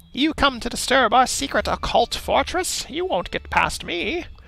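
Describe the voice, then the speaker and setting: At a moderate pace, a man projects a raised, put-on character voice with an extremely high pitch. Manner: hammy, menacing.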